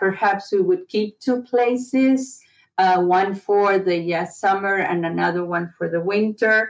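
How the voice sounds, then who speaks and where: A woman speaks with an Argentine accent at a medium pitch. She has hardly any pauses and ordinary pitch variation. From Buenos Aires, Argentina. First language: Spanish. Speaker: retired college administrator. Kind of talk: casual interview.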